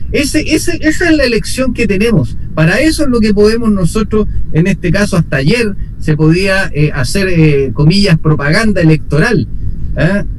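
A man speaks at a high pitch with very wide pitch swings and very even loudness, at a moderate pace. Noticeable background noise and audible room echo are present. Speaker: city councillor. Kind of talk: radio interview.

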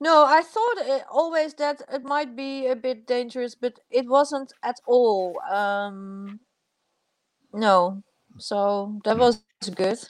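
Very slow speech from a high-pitched woman with a Dutch accent and lively intonation. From Netherlands. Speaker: filmmaker. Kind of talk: interview. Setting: video call. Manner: halting.

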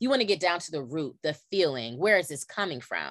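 Against a quiet background, a woman with an American accent speaks with vocal fry and very wide pitch swings. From California. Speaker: podcast host and former teacher. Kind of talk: casual chat. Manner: animated.

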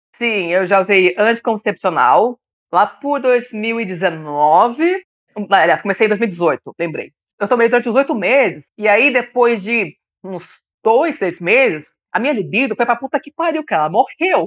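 A woman speaks at a fairly slow pace in a fairly high voice. Her pitch swings very widely. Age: 30s. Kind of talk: casual chat.

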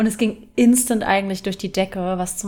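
With ordinary pitch variation, a woman talks at a fairly quick clip. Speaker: podcast co-host. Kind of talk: casual chat.

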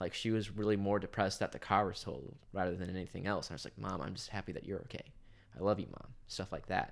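Talking at a very fast pace, a man uses a fairly low-pitched voice with vocal fry and ordinary pitch variation. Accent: Midwestern American. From Kansas, US. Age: 20s. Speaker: college student and dorm RA. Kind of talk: casual chat.

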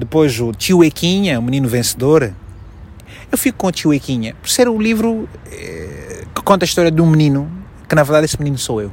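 With a fairly high pitch and very wide pitch swings, a man talks at a fairly quick pace broken by long, frequent pauses. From Angola, Malanje province. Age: 30s. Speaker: journalist and TV presenter. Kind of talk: interview.

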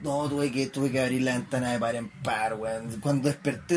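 With a Chilean accent, a man speaks at a fairly quick pace. Noticeable background noise is audible. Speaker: podcast co-host. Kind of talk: casual chat.

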